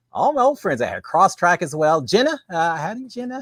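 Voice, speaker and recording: High-pitched for a man, his voice makes very wide pitch swings in a very clean, dry, close recording with a silent background and no echo. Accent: Texan. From Texas. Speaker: live stream host, former reality show contestant. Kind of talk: casual live stream chat. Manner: fast.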